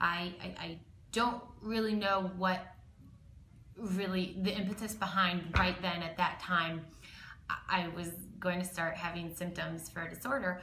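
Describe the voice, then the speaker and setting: Amid audible room echo, a woman with a bright, sharp tone and medium pitch speaks at a fairly slow pace with fairly even intonation and long, frequent pauses. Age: 20s. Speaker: eating disorder survivor, panelist. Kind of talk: personal testimony. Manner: halting, many fillers.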